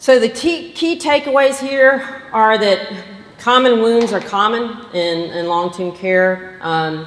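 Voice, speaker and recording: A woman with a slight Southern US accent speaks very slowly at a fairly high pitch, her voice swinging very widely. Room echo is audible, and background noise is noticeable. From Georgia, US South. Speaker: physician. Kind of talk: lecture.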